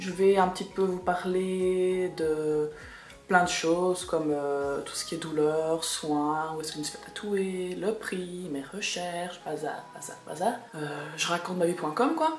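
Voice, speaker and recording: Against music in the background, a woman speaks at a very slow pace in a fairly low pitch, with fairly even intonation and big swings in loudness. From Belgium. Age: 20s. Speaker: kindergarten teacher. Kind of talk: casual talk to camera.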